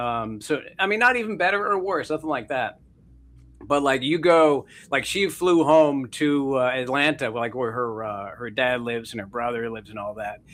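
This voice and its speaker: The recording is very clean, with a silent background. A man with a medium pitch speaks at a moderate pace with lively intonation. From Canada. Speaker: author, former broadcaster. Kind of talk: casual interview chat. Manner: loud.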